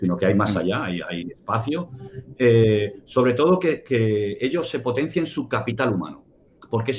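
The voice is somewhat breathy, with lively intonation. The pace is moderate. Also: man. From Spain, Barcelona. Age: 50s. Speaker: security consultant and ex-soldier. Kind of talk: interview. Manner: halting.

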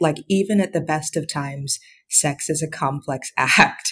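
A woman speaks in a somewhat breathy voice. The recording is very clean, with a silent background. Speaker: newspaper columnist and author. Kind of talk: casual interview chat.

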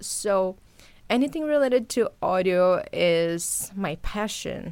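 In a very clean recording with a silent background, a woman speaks with a Brazilian accent. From Brazil, São Paulo. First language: Portuguese. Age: 20s. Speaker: podcast host and journalist. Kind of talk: casual monologue to listeners. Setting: home recording setup.

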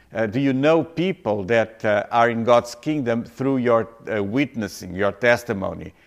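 A man speaks with a non-native accent and lively intonation. The recording is very clean, with a silent background. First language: not English. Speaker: pastor. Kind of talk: sermon. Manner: halting.

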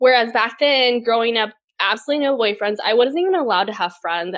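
With an American accent, a woman talks at a very fast pace, her fairly high pitch showing ordinary variation. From Texas. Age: 30s. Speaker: food and travel blogger. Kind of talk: interview.

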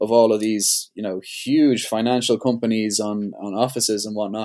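Medium in pitch, a man talks at a moderate pace with fairly even intonation, recorded very cleanly against a silent background. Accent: Dublin. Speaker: skateboarder and entrepreneur. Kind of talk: casual chat.

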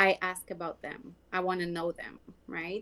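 Speaking fairly slowly in a Quebec accent, a woman has a bright, sharp tone. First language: French. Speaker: skin care sales rep. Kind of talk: casual interview.

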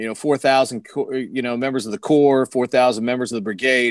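Over a quiet background, a man with a normal speaking voice and an American accent speaks at a fairly quick pace in a medium pitch with ordinary pitch variation, in a dry, close sound with no echo. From Washington DC area, Maryland. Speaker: sports radio broadcaster. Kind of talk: casual interview. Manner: fluent, with frequent filler words.

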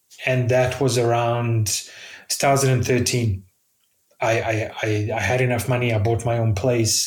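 A man's somewhat breathy, medium-pitched voice at a fairly slow pace, with very even loudness, fairly even intonation, long and frequent pauses, and audible room echo. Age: 40s. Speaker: software developer. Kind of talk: casual chat.

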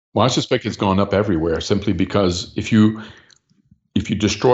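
A somewhat breathy man at a fairly quick pace with fairly even intonation. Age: 60s. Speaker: political party leader. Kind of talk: interview.

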